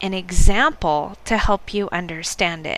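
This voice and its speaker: The speaker has a General American accent and lively intonation. Noticeable background noise sits behind the voice. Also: woman. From United States. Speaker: English teacher podcast host. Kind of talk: scripted educational podcast intro.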